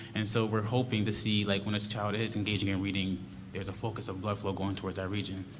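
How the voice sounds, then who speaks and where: A soft-spoken man talks at a very fast pace in a fairly low, monotone, flat voice. Audible room echo surrounds him. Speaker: research study presenter. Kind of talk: presentation to school board.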